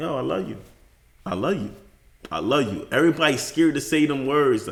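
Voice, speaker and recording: Talking at a fairly quick pace with vocal fry, this voice has lively intonation and a New York accent. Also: man, fairly high pitch for a man. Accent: New York City. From Bronx, New York. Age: 30s. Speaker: podcast guest, father. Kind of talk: casual interview chat.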